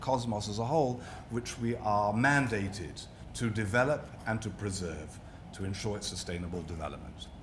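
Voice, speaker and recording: A moderate pace in a British accent, with audible room echo. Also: man. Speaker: rabbi and interfaith lecturer. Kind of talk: public lecture. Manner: formal.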